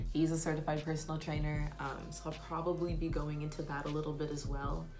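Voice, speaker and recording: Soft-spoken, with an American accent, the voice moves at a fairly quick pace in monotone, flat intonation, with audible room echo and music in the background. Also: woman. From California, Sacramento. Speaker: beauty vlogger. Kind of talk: get-ready-with-me vlog. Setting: at home, early morning. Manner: soft-spoken, talking low.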